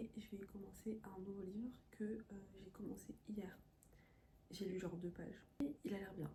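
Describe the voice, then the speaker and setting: Soft-spoken and somewhat breathy, a woman talks at a moderate pace in a dark, mellow tone with fairly even intonation and long, frequent pauses. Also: medium pitch for a woman. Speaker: lifestyle vlogger. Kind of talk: casual vlog talk.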